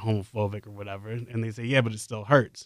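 A man with a New York accent talks at a very fast pace at medium pitch. His tone is bright and sharp, on a very clean recording with a silent background. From New York City, the Bronx. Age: 20s. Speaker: college student and campus radio music director. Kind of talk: casual chat. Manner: animated.

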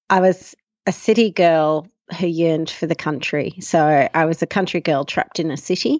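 A woman's fairly low-pitched voice with an Australian accent, moderate pace and fairly even intonation. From Australia, Melbourne. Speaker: farmer and emergency doctor. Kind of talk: interview.

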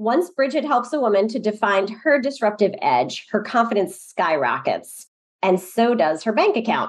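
In a normal speaking voice, the speaker keeps a moderate pace with lively intonation. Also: woman, fairly high pitch for a woman. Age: 50s. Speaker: podcast host. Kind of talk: casual interview.

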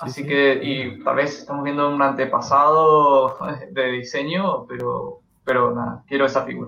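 Here a man speaks at a moderate pace. His loudness swings widely. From Argentina, Mendoza. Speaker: YouTube collectibles creator. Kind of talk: casual chat.

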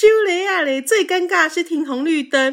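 A woman's bright, sharp, animated voice in a Taiwanese accent at a moderate pace, on a very clean recording with a silent background. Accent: Taiwanese Mandarin. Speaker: podcast co-host. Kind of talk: casual chat.

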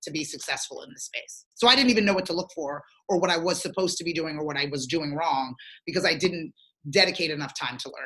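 Speaking in an American accent, a woman uses a bright, sharp tone and lively intonation. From southern New Jersey. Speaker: marketing entrepreneur and talk show host. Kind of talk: casual interview.

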